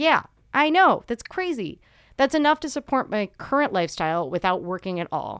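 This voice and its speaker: A woman's high voice with very wide pitch swings at a moderate pace, on a very clean recording with a silent background and a dry, close sound with no echo. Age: 20s. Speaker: personal finance podcast host. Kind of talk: solo podcast explainer.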